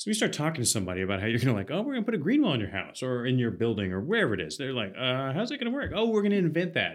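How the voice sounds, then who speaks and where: With an American accent, a man at a medium pitch talks at a very fast pace with hardly any pauses. His pitch swings very widely. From US South, Athens, Georgia. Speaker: landscape architect. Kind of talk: casual chat.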